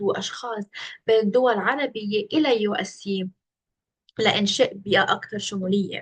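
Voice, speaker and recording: With a Lebanese accent, a woman speaks at a fairly slow pace in a somewhat breathy, medium-pitched voice with ordinary pitch variation. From Lebanon. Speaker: internship applicant. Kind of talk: video self-presentation for job interview. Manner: hesitant with fillers.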